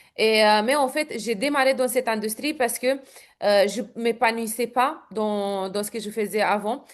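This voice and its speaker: A woman's fairly high voice at a fairly slow pace, with ordinary pitch variation and a quiet background. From Romania. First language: Romanian (speaking French). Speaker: network marketing entrepreneur. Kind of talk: interview. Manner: hesitant, many fillers.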